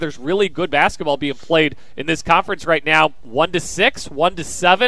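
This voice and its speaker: This man has an American accent and a high pitch with ordinary pitch variation. His tone is bright and sharp, and his pace is moderate. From Kansas. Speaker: sports radio host. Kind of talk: sports talk crosstalk. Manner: animated, conversational.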